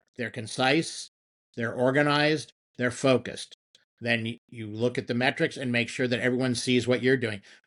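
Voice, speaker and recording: With an ordinary speaking voice, a man of medium pitch talks at a moderate pace with fairly even intonation over a quiet background. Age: 60s. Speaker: marketing executive. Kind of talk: podcast interview.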